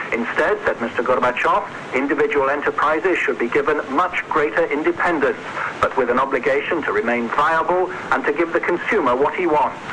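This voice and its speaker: Noticeable background noise sits behind a man who speaks at a fairly quick pace, with ordinary pitch variation and very even loudness. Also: fairly high pitch for a man. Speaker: radio news correspondent. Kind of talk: radio news report from abroad.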